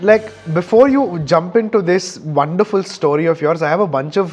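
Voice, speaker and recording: Music plays in the background as a man speaks at a moderate pace. His pitch is high and his intonation lively. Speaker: podcast host. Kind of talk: podcast interview.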